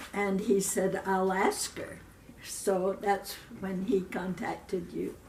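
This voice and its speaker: Very slow, monotone, flat delivery with an American accent over noticeable background noise. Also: woman, medium pitch for a woman. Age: 80s. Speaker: retired schoolteacher. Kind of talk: casual interview.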